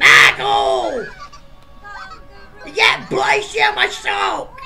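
A man shouts in a put-on character voice at a very slow pace. Music plays in the background. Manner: exasperated, shouting.

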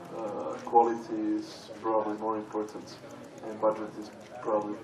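Against noticeable background noise, a man with a Serbian accent speaks at a moderate pace in a fairly low, monotone, flat voice. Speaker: game company founder. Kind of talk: panel discussion. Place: stage. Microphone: podium.

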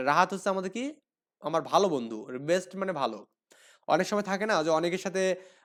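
Lively intonation from a man with a high voice. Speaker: English tutor for primary pupils. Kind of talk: tutorial.

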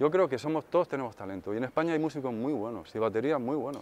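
The man talks at a very fast pace. His medium-pitched voice has lively intonation. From Spain (provinces, outside Madrid). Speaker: session drummer and songwriter. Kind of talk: interview answers; interview answer. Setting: music industry event. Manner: hesitant, with fillers. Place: hall. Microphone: lapel.

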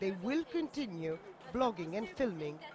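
Background noise is noticeable throughout. The delivery keeps a moderate pace. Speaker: TV news reporter. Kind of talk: TV news report narration.

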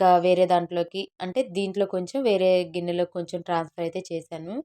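A woman speaks with a dark, mellow tone at a fairly low pitch. Her intonation is fairly even, and the sound is dry and close with no echo. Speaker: vlogger. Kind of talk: casual vlog narration.

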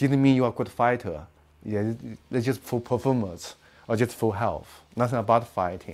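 Speaking with a Chinese accent, a man uses ordinary pitch variation. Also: moderate pace. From China. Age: 50s. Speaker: martial arts master and teacher; teacher. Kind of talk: interview; interview answer. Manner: halting, with many fillers. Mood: animated, laughing at times. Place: home room. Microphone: lapel.

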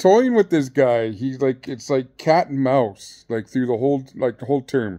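With a dark, mellow tone and ordinary pitch variation, a man talks over a quiet background. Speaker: storyteller. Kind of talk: casual vlog chat. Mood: amused, animated. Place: home room. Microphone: phone near.

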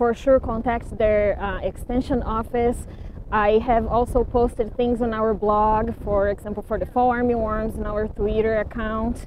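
A woman speaks at a moderate pace in a flat, monotone way, with a dry sound free of echo and light background noise. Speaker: agronomy professor. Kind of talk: interview. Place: farm machine.

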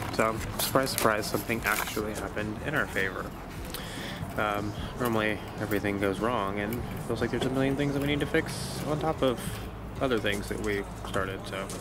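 Amid loud background noise, a man talks at a fairly quick pace with ordinary pitch variation, and the sound is dry with no echo. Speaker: sailing vlogger. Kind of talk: casual vlog chat. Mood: relaxed, mildly relieved. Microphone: phone near.

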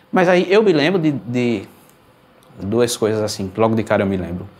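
His intonation is lively. The man's pitch sits fairly low. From Pernambuco, Brazil (Garanhuns, Recife). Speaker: accordionist. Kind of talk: interview. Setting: video call. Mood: relaxed, thoughtful. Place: studio.

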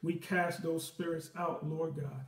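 A man's high-pitched voice at a moderate pace, with audible room echo. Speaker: Sunday school teacher. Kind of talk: prayer, then class opening. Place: home room. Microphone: webcam.

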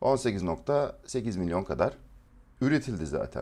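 A man's dark, mellow voice with vocal fry swings very widely in pitch. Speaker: trading educator. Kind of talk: live stream market analysis. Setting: live stream.

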